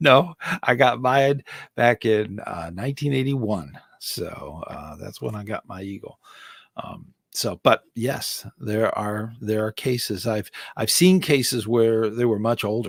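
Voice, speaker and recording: A man of medium pitch with an ordinary speaking voice talks fairly slowly with lively intonation, the sound dry and close with no echo. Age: 60s. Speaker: scouting volunteer and live-stream host. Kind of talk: live stream Q&A answering chat. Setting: solo live stream. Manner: casual, with many fillers and restarts.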